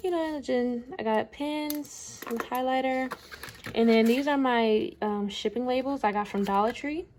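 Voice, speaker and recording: Over noticeable background noise, a woman speaks at a high pitch and a fairly slow pace, with ordinary pitch variation. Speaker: small business owner vlogger. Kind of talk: casual vlog tutorial.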